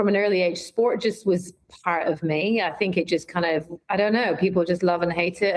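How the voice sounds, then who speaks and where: In a Scottish accent, a woman speaks at a fairly quick pace and medium pitch, her intonation monotone and flat. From Scotland. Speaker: brand marketing executive. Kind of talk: interview conversation. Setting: podcast.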